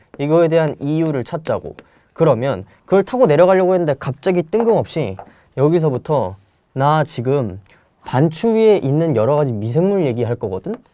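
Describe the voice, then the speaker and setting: A man with a dark, mellow tone and a fairly high pitch. His pitch swings very widely. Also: moderate pace. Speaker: Korean language exam tutor. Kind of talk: lecture. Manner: casual, conversational.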